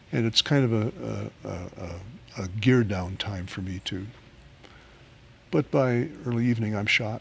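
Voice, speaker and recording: A man's somewhat breathy, fairly low voice at a moderate pace, with ordinary pitch variation and long, frequent pauses. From West Africa. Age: 60s. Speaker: pastor living with Parkinson's. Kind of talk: interview. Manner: halting.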